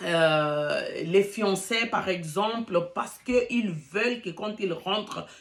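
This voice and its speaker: A woman's very slow speech with lively intonation. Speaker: relationship coach YouTuber. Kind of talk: casual vlog talk. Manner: hesitant with fillers; halting, searching for words.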